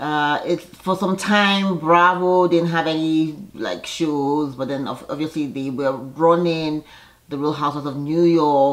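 A woman's very deep, low voice at a fairly slow pace, with ordinary pitch variation. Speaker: TV show reviewer. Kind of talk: casual vlog chat. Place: home room. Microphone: phone near.

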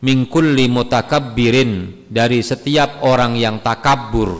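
A man talks very slowly, with only quiet in the background. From Indonesia. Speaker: Islamic preacher. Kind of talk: religious study lecture. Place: church. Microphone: podium.

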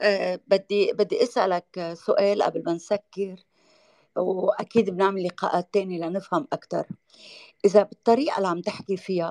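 A woman's dark, mellow voice at a fairly slow pace, dry and close with no echo. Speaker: talk show host. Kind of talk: casual chat.

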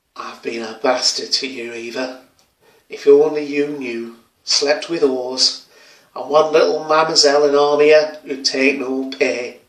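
A man speaks at a fairly slow pace with fairly even intonation. The background is quiet, and room echo is audible. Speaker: actor performing monologue. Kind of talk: dramatic monologue. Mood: weary, regretful. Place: home room. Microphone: phone near.

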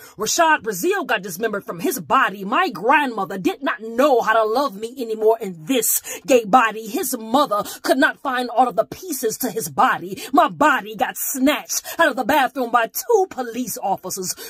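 With music in the background and a dry sound with no echo, a woman speaks at a moderate pace and a fairly high pitch, her tone intense, her pitch swinging very widely and hardly any pauses in between. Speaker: slam poet. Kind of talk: slam poetry performance. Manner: intense, defiant. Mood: pained, defiant. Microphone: phone near.

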